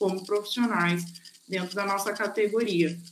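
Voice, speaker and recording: Over noticeable background noise, the speaker uses fairly even intonation with a southern Brazilian accent. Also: woman. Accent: gaúcho. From southern Brazil (Rio Grande do Sul). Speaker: nurse. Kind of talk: online course talk and Q&A.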